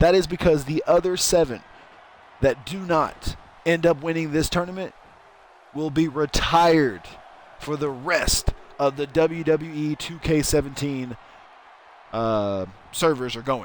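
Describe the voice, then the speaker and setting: Speaking at a fairly slow pace with long, frequent pauses, a man with a fairly high pitch and ordinary pitch variation is heard against noticeable background noise. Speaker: streamer doing wrestling game commentary. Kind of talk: live commentary. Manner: loud; animated.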